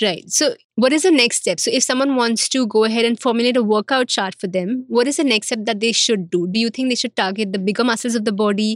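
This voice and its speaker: Very fast speech from a woman, fairly high in pitch, with ordinary pitch variation and hardly any pauses. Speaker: podcast host. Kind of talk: interview.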